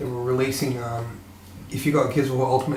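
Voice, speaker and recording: A man's medium-pitched voice with an Australian accent, monotone and flat, with audible room echo and noticeable background noise. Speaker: gaming youtuber. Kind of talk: casual monologue to webcam. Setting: home room, webcam. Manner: hesitant, many fillers.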